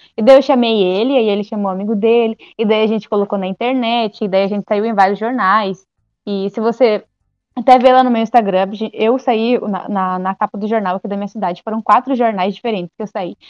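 A woman's fairly high, fairly even voice at a fairly quick pace, with music in the background. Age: 20s. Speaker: amateur astronomer and science communicator. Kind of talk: explainer; casual chat.

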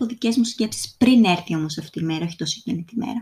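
A woman speaks very fast in a somewhat breathy, fairly high voice with a dark, mellow tone. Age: 20s. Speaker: podcast host. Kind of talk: solo podcast monologue.

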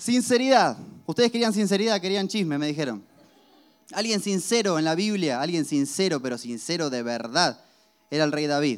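Very wide pitch swings mark this moderately paced speech, heard on a very clean recording with a silent background. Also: man, high pitch for a man. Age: 20s. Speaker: pastor. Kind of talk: sermon.

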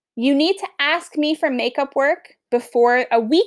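A woman with a Long Island accent speaks at a fairly slow pace in an animated tone with ordinary pitch variation. The recording is very clean, with a silent background. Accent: Long Island New York. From Long Island, New York. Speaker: teacher. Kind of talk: class podcast, casual explanation to students. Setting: home recording, dog nearby snoring. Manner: animated, chatty.

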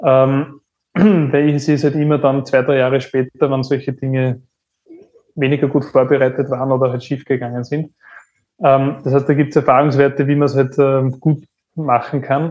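With long, frequent pauses, a man speaks at a moderate pace in a fairly high, flat, monotone voice. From Upper Austria. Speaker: entrepreneur and business turnaround consultant. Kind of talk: podcast interview.

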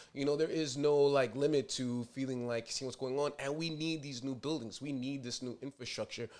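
A man with a New York accent speaks at a fairly high pitch with fairly even intonation and hardly any pauses. The recording is very clean, with a silent background. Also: fairly quick pace. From New York City (Inwood/Dyckman, Upper Manhattan). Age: 30s. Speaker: podcast host, nonprofit president. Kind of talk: casual chat. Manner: halting, many fillers.

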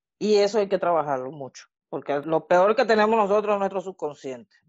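Here is a woman with a normal speaking voice at a medium pitch. Her intonation is lively. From Venezuela. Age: 40s. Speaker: student of the course, interviewee. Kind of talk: casual interview, personal testimony.

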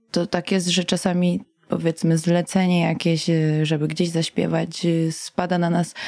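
Her voice carries a dark, mellow tone. This woman sits at a fairly low pitch. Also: dry, close sound with no echo. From Poland, Warsaw and Masuria. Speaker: singer and veterinary student. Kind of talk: radio interview. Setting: radio studio.

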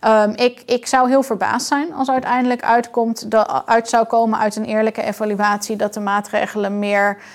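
The recording is very clean, with a silent background. A woman speaks at a moderate pace in a fairly high voice with fairly even intonation. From outside the Netherlands. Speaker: doctor and board member of a critical health group. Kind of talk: interview conversation. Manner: halting.

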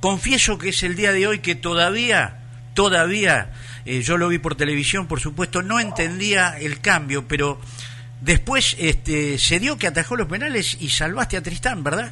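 With a Rioplatense accent, a man speaks in a high pitch. Noticeable background noise can be heard. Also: lively intonation, moderate pace. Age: 70s. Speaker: radio co-host. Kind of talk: radio interview. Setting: studio.

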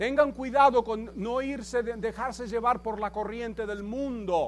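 A man speaks very slowly at an extremely high pitch for a man, keeping his intonation fairly even. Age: 70s. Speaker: pastor. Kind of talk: sermon. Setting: church.

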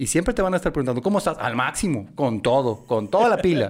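A man at a fairly quick pace with very wide pitch swings, on a very clean recording with a silent background. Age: 40s. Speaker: marketing consultant. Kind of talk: casual interview.

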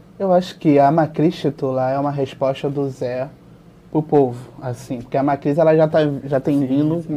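Fairly high pitch for a man, with a dark, mellow tone and fairly even intonation. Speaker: volleyball YouTuber. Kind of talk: casual sports discussion.

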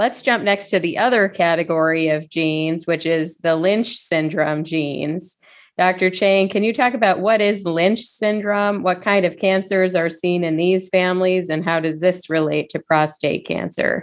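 Over a quiet background, a woman talks in a normal speaking voice at medium pitch. She keeps a moderate pace with hardly any pauses and ordinary pitch variation. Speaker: urologist and podcast host. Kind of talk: educational podcast interview.

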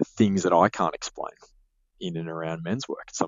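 Speaking fairly quickly, a man talks with an Australian accent. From Sydney, Australia. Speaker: business advisor, podcast co-host. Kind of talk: casual chat.

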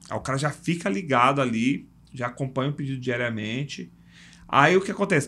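A man with an ordinary speaking voice talks at a fairly quick pace. His intonation is lively. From São Paulo, Brazil. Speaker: logistics entrepreneur. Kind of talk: casual interview chat.

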